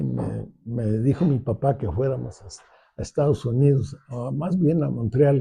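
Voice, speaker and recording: Here a man with a central Mexican accent speaks very slowly in a medium pitch, with a dark, mellow tone, vocal fry and lively intonation. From Mexico City. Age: 80s+. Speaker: architect. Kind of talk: interview. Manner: halting, many fillers and restarts.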